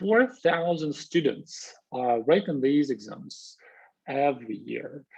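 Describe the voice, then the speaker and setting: Speaking at a very slow pace, a man with a Russian accent has a fairly high pitch. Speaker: university lecturer. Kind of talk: lecture. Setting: video call. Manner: halting, many fillers.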